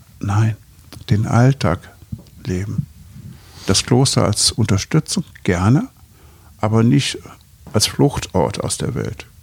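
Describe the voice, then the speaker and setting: Lively in intonation but very slow in pace, a man talks in a fairly low voice with long, frequent pauses. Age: 70s. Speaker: physician and Buddhist teacher. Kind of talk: interview conversation.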